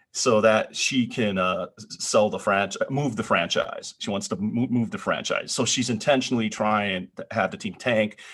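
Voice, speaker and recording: At a moderate pace, a man speaks with hardly any pauses. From northern US. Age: middle-aged. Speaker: podcast co-host. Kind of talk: casual chat.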